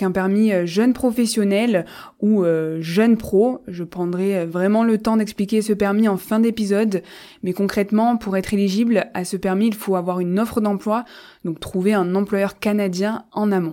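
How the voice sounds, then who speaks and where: Her intonation is fairly even and her pace fairly slow. This woman's tone is dark and mellow. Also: medium pitch for a woman. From France, Marseille. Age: 20s. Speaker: podcast host and recruiter. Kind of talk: solo podcast monologue.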